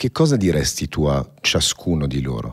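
The background is quiet while a man talks. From born in Paris. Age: 40s. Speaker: podcast host, entrepreneur; podcast host. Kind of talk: interview. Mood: calm, earnest. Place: studio. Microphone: studio mic.

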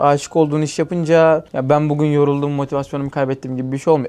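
A man talks at a very fast pace, his pitch fairly high. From Turkey, Denizli. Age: 20s. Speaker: tech startup founder and CEO. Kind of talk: podcast interview. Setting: company office.

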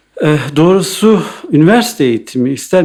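A man talks fairly slowly, his intonation lively and full of movement. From Eastern Turkey, Iğdır. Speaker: architect. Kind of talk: interview. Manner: hesitant, many fillers.

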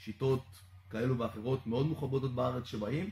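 Slightly breathy speech moves at a moderate pace with fairly even intonation, set against audible room echo and light background noise. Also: man. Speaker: coach. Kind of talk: interview answer. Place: gym.

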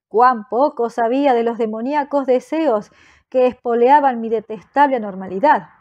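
Her voice sits high. She takes her words at a fairly slow pace. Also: ordinary pitch variation. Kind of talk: horror story audiobook, scripted first-person narration read aloud. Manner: slow, dark and solemn, theatrically dramatic; morbidly intense, building to feverish delirium.

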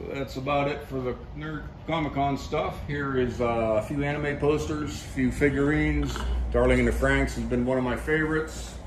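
A man talks at a moderate pace, with noticeable background noise in the recording. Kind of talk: casual vlog chat. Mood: relaxed, fond. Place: workshop. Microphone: phone near.

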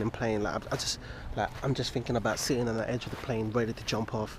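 The speech runs at a moderate pace with flat, monotone intonation, in a dry sound with no echo and noticeable background noise. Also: man. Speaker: travel vlogger. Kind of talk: casual vlog chat. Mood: anxious, nervous about skydive. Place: waterside. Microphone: phone near.

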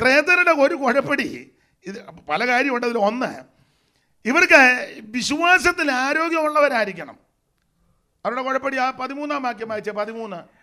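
In a quiet background, a man with an extremely high pitch uses a raised, projected voice, his bright, sharp, animated tone riding lively intonation. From Kerala, India. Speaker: pastor. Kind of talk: sermon. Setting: church convention with audience. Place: church. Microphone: handheld.

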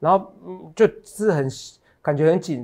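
Against a quiet background, a man talks in an animated tone with lively intonation. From Taiwan. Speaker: stock market analyst. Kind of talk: market analysis show. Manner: animated, full of fillers. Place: studio. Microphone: lapel.

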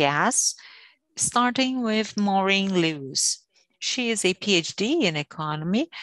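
Against a quiet background, a woman speaks at a very slow pace with a dry sound and no echo. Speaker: panel moderator. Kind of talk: introduction of a guest speaker. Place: home room. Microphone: earbuds.

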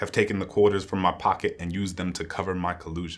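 Speaking very fast in an American accent, a man with a very deep, low voice delivers his words in a flat monotone, and the recording is quiet. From US. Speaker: poet. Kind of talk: spoken-word poetry reading, solemn and rhythmic. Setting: stage with audience. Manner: measured, building cadence of anaphoric 'And I' lines; grave, quietly impassioned, lingering on moral weight. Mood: solemn, reflective. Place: studio.

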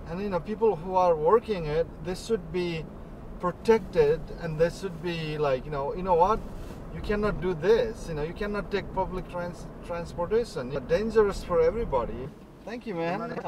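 A man at a moderate pace with ordinary pitch variation, dry sound with no echo, and noticeable background noise. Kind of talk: casual conversation with passengers. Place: car. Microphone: camera far.

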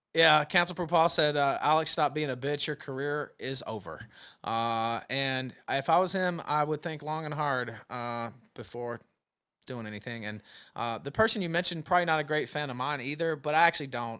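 The voice has a bright, sharp tone and an American accent. It moves at a moderate pace with ordinary pitch variation over a quiet background. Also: man. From US South, Memphis; Tennessee. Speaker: livestream host. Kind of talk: casual chat. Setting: video call. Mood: critical, mildly scornful. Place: home room. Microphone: studio mic.

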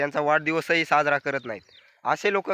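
A man talks with a bright, sharp tone, fairly high pitch and fairly even intonation. The sound is dry and close with no echo. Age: 20s. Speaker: vlogger. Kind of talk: casual vlog monologue.

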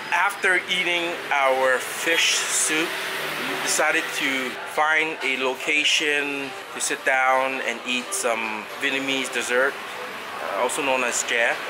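With noticeable background noise behind him, a man speaks at a very slow pace with ordinary pitch variation. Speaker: food vlogger. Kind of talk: casual vlog chat. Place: cafe. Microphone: phone near.

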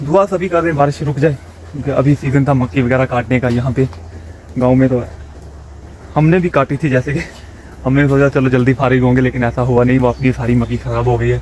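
A man at a moderate pace with long, frequent pauses, very even loudness and ordinary pitch variation, in a dry sound with no echo and light background noise. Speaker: village vlogger who keeps birds. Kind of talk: casual vlog chat. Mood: relaxed, slightly worried. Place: open country. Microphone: phone near.

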